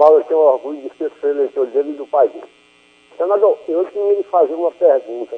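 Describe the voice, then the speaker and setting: A man's plain, everyday voice, fairly high in pitch, at a moderate pace with big swings in loudness. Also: ordinary pitch variation. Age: 60s. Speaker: radio caller. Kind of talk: call-in question on radio.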